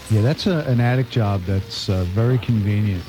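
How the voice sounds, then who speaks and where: Over noticeable background noise, a man speaks at a moderate pace in a fairly low pitch with ordinary pitch variation. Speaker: radio DJ. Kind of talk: casual on-air banter. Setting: studio. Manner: easygoing.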